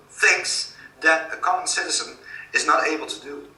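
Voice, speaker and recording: With a Dutch accent, a man speaks amid audible room echo and noticeable background noise. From Netherlands. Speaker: author. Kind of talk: interview. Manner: halting.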